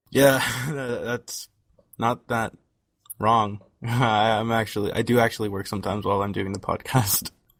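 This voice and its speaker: A quiet man with a medium pitch speaks with long, frequent pauses. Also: fairly even intonation. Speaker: podcast co-host and video editor. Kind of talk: casual chat. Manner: fast.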